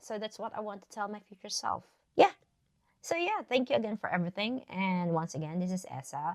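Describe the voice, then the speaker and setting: A woman speaks in a Filipino accent at medium pitch. Her intonation is lively and her pace fairly quick. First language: Tagalog. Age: 40s. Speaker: vlogger. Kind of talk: casual chat. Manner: casual, hesitant with fillers.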